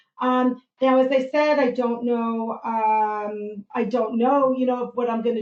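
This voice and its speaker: Fairly high in pitch, a woman speaks in an unremarkable speaking voice with fairly even intonation. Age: 60s. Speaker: nurse. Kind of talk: health talk on a live podcast.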